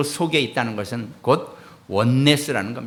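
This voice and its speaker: A man speaks at a very slow pace with ordinary pitch variation. Room echo can be heard. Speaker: pastor. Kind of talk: sermon.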